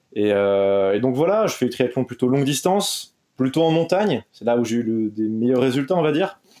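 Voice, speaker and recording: With a dark, mellow tone and medium pitch, a man talks at a moderate pace with lively intonation. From France, Brittany. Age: 20s. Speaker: triathlete. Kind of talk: podcast interview.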